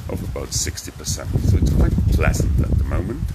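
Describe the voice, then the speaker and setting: A man talks at a moderate pace. Loud background noise fills the recording. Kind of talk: live property tour commentary. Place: home room. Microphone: phone near.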